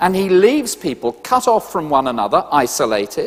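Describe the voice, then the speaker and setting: The voice has a British accent and vocal fry. Its pitch swings very widely. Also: man. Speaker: preacher. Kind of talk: sermon.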